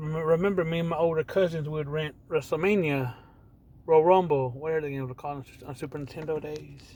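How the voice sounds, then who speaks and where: Fairly high for a man, his dark, mellow voice keeps a fairly even intonation while its loudness swings widely. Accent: American. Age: 40s. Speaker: gaming vlogger. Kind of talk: casual monologue. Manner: rambling with restarts.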